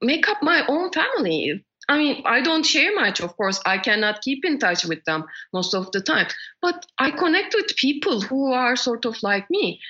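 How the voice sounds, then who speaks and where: In a Turkish accent, a woman speaks at a moderate pace in a high voice with very wide pitch swings. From Turkey. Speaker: world traveler and activist. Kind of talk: interview. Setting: podcast interview.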